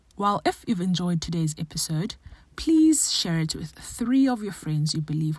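A woman talks at a moderate pace in a fairly low, somewhat breathy voice with ordinary pitch variation. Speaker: podcast host, occupational therapist. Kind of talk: interview, casual chat.

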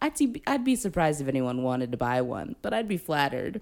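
A woman talks at a moderate tempo. Noticeable background noise sits behind her. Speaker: podcast co-host. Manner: playful, jokey.

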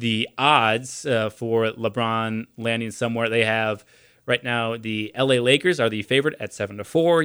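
In an unremarkable speaking voice, a man talks at medium pitch and moderate pace with fairly even intonation. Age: 20s. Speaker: sports radio host. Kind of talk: casual chat.

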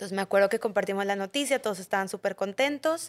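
A woman with a plain, everyday voice speaks at a fairly high pitch with ordinary pitch variation, in a dry, close sound with no echo and a very clean recording with a silent background. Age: 30s. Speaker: mother sharing pregnancy loss, entrepreneur. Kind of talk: testimony.

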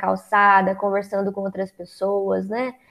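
In a normal speaking voice, a woman talks at a moderate pace with medium pitch. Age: 20s. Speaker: psychologist and author. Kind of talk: interview.

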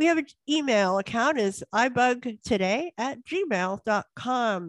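An unremarkable speaking voice from a woman, fairly high in pitch with lively intonation, in a dry, close sound with no echo and a quiet background. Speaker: co-host of tech support call. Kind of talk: group tech help call, casual. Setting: video call.

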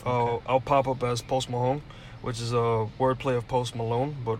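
With music in the background, a man speaks at a moderate pace in a medium-pitched, monotone, flat voice. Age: 20s. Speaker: podcast co-host. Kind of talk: casual chat.

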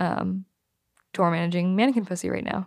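Here is a woman with a plain, everyday voice at medium pitch. She talks at a moderate pace with ordinary pitch variation on a very clean recording with a silent background. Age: 20s. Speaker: podcast co-host and touring music crew. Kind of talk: casual chat.

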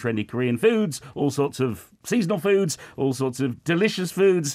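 Lively in intonation, a man with a British accent speaks at a moderate pace. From United Kingdom. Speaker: radio host. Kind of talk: casual radio chat about food. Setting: radio studio.

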